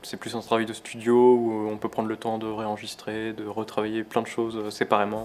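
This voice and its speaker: Against noticeable background noise, a man at a medium pitch speaks at a fairly quick pace in a monotone, flat intonation. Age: 20s. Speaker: jazz pianist. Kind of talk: interview. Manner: hesitant, many fillers.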